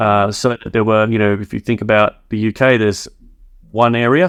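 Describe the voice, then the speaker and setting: A man with an Australian accent, recorded dry and close with no echo. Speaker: tech company founder. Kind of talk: podcast interview.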